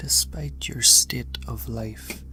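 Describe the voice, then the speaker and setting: Over music in the background, a soft-spoken man talks at a very slow pace. His pitch is very deep and low, with fairly even intonation. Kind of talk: horror story narration.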